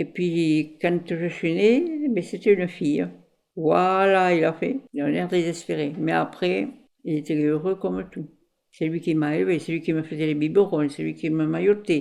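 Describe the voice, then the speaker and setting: A woman's dark, mellow voice, fairly low in pitch and fairly slow, with ordinary pitch variation on a very clean recording with a silent background. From France, Ariège. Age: 60s. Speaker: former fairground worker. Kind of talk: life story interview. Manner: halting, many hesitations.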